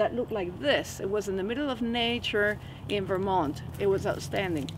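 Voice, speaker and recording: The voice has a Spanish accent. It moves at a moderate pace. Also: woman. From Venezuela (Caracas). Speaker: hypnotherapist. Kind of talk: personal testimony in a teaching video. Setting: outdoors in a forest.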